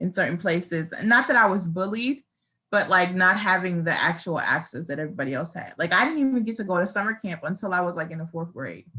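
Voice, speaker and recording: An American-accented woman speaks at a very fast pace at medium pitch, in a bright, sharp tone. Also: ordinary pitch variation. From Rochester, New York. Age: 30s. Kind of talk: personal testimony. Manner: casual with frequent fillers.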